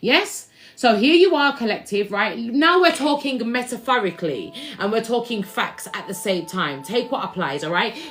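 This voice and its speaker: Loud and animated in tone, a woman speaks with a fairly high pitch and very wide pitch swings while music plays in the background. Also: moderate pace. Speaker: spiritual reader and musician. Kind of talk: livestream tarot-style spiritual reading.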